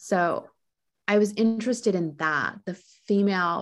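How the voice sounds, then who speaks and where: A woman speaks with a Montreal accent. Her pitch varies in an ordinary way. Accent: Montreal English (Canadian). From Montreal, Quebec, Canada. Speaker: novelist. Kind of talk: interview. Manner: hesitant, many fillers.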